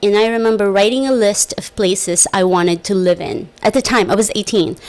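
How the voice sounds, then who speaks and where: A woman with an American accent speaks at a moderate pace. Her pitch is fairly high. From small island village, outside the US. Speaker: podcast host. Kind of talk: casual monologue. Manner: loud; chatty, with many fillers.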